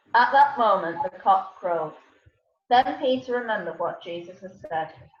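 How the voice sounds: A woman at medium pitch, lively intonation and a moderate pace, with audible room echo.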